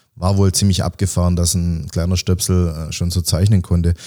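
A man talks at a very deep, low pitch with a dark, mellow tone. The recording is very clean, with a silent background. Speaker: special-needs teacher, author and bit-part actor. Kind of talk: casual interview.

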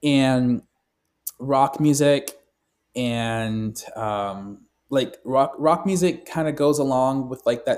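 The voice has an American accent and fairly even intonation. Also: man. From Southern California. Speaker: musician and recording artist. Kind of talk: interview. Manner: frequent fillers, casual.

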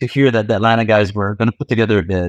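This is a normal speaking voice with ordinary pitch variation. The sound is dry and close, with no echo. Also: man. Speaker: car enthusiast. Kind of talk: casual chat.

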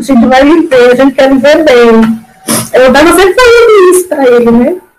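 Noticeable background noise is present. The words arrive at a moderate pace. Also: woman. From Ceará, Brazil. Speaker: fibromyalgia patient, former hairdresser. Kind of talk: personal testimony in casual interview. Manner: talkative, emotional.

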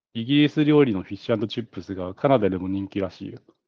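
A man with an ordinary speaking voice, fairly low in pitch, with ordinary pitch variation and a fairly quick pace. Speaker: podcast co-host. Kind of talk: casual chat.

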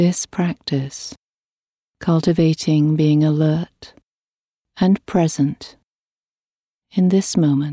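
In a dry, close sound with no echo, a woman with a very deep, low pitch and dark, mellow tone speaks very slowly with fairly even intonation and long, frequent pauses. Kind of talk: guided meditation. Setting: recorded audio meditation with a gong. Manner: slow, calm and soothing, with long pauses between phrases; gentle, even and unhurried.

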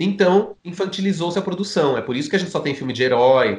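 Talking at a fairly quick pace, a man uses lively intonation in an ordinary speaking voice. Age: 40s. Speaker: filmmaker. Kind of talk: casual chat.

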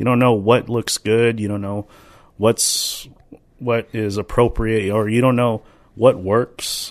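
In a dry, close recording with no echo, a man of medium pitch speaks in a flat monotone at a very slow pace. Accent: American. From Minnesota. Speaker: podcast co-host, dance teacher. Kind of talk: casual chat.

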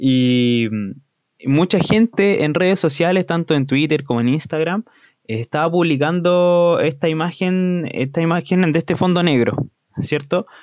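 A man with a Chilean accent, high in pitch, at a fairly slow pace with ordinary pitch variation and very even loudness. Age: 20s. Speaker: podcaster. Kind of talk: casual monologue.

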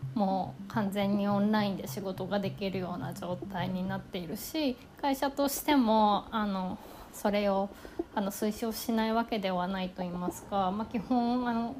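Ordinary pitch variation and a moderate pace carry the speech, with noticeable background noise underneath. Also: woman, medium pitch for a woman. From Kanagawa, Japan. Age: 30s. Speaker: podcaster. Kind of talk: self-introduction monologue. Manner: halting.

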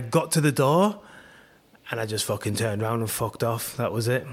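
With ordinary pitch variation, a man talks at a very fast pace. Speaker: podcast host. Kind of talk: casual interview chat. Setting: remote call.

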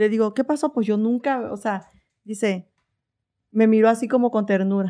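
A woman with a fairly high pitch and a dark, mellow tone speaks at a moderate pace with fairly even intonation and long, frequent pauses, in a very clean recording with a silent background. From Veracruz, Mexico. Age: 40s. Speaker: personal trainer and content creator. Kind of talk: casual interview chat.

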